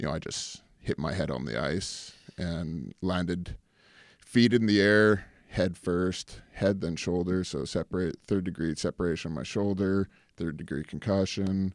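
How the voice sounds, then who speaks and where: A man with a very deep, low pitch at a fairly slow pace, ordinary pitch variation, on a very clean recording with a silent background. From Canada. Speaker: actor and former pro hockey player. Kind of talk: casual interview chat.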